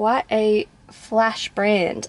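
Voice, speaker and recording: A woman's voice comes through in a dry sound with no echo. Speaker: vlogger. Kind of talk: casual vlog chat. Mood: chatty, a bit hot. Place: car. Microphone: phone near.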